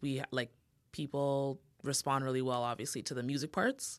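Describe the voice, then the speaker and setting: A woman with a Toronto accent and a very deep, low pitch, against a quiet background. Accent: Toronto Canadian English. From Toronto, Canada (Jamaican descent). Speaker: podcast producer and co-host. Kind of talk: casual interview chat.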